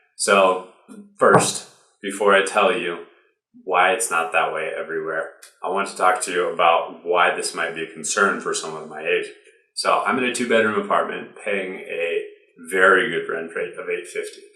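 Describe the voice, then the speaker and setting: In an American accent, a man speaks at a moderate pace with big swings in loudness and audible room echo. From US Midwest (Ohio). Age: 20s. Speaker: video creator. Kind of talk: explainer vlog.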